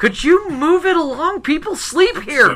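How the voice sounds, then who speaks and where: A put-on character voice, female-sounding, at an extremely high pitch and a moderate pace, with light background noise. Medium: actual play.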